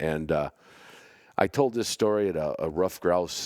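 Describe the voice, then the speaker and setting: A man with an American accent speaks with vocal fry. The recording is very clean, with a silent background. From Chicago. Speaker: bird-dog hunter, podcast host. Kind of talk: casual podcast storytelling.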